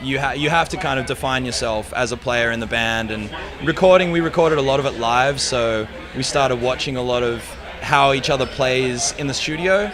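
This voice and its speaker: Speaking at a fairly quick pace, a man with an Australian accent has a medium pitch and ordinary pitch variation. Audible room echo and noticeable background noise fill the recording. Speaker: musician. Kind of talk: interview.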